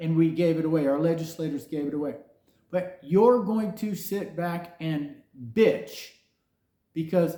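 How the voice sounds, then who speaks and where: There is audible room echo around a man whose dark, mellow tone carries lively intonation at a moderate pace. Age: 60s. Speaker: podcast host, software engineer. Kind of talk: opinion rant monologue. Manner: animated.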